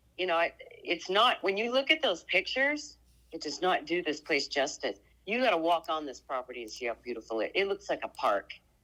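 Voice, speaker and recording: A woman with an American accent talks fairly quickly at a fairly low pitch, her bright, sharp tone showing vocal fry and very wide pitch swings. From Oregon. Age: 60s. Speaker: homeowner selling property. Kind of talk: phone conversation.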